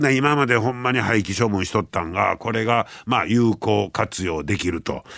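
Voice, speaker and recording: A man speaks at a moderate pace with a medium pitch, ordinary pitch variation and hardly any pauses, on a very clean recording with a silent background. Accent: Kansai. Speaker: radio host. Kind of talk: casual radio talk.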